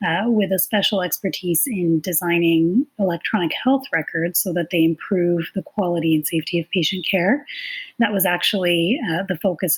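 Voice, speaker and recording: In a Canadian accent, a woman uses a plain, everyday voice at a fairly low pitch, with ordinary pitch variation, a fairly quick pace, and a dry, close sound with no echo. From Canada. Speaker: nurse and clinical informatics consultant. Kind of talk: podcast interview.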